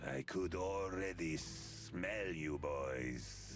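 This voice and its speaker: A man puts on a character voice and speaks at a very slow pace, with clear background noise. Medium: video game. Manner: gruff, chuckling.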